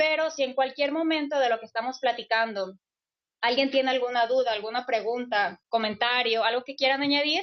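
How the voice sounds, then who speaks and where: The words come at a fairly quick clip. The pitch rises and falls in an ordinary way. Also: woman, high pitch for a woman. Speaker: UN refugee agency officer, lecturer. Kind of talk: lecture. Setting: classroom session, also streamed online.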